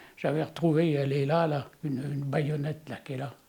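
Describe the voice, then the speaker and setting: The dark, mellow tone of a man. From France, Le Mans area (Sarthe). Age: 90s. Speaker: war witness. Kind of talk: testimony. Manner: halting, with many hesitations.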